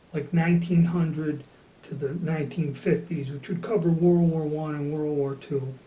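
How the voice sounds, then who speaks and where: Amid audible room echo, a man with a high pitch speaks at a fairly slow pace, his intonation fairly even. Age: 60s. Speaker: gun collector. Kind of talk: casual talk to camera. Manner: casual, with fillers.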